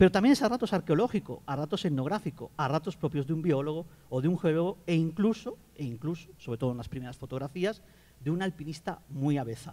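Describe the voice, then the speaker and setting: Very fast delivery in a Catalan accent, with a dark, mellow tone and lively intonation. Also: man, fairly high pitch for a man. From Catalonia, Spain. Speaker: geographer, academic panelist. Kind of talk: book presentation talk.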